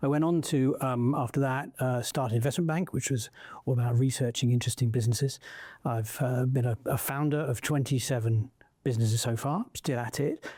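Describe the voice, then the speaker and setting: On a very clean recording with a silent background, the voice is somewhat breathy with a dark, mellow tone and fairly even intonation. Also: man, medium pitch for a man, fairly quick pace, very even loudness. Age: 60s. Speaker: entrepreneur and investor. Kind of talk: interview conversation. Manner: halting, many fillers.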